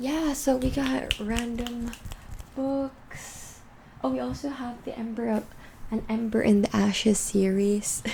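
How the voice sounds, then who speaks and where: A woman speaks at a very slow pace with long, frequent pauses, her pitch fairly high and her intonation lively. Noticeable background noise runs behind her. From Philippines. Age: 20s. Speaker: ASMR creator. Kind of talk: ASMR book ramble to camera.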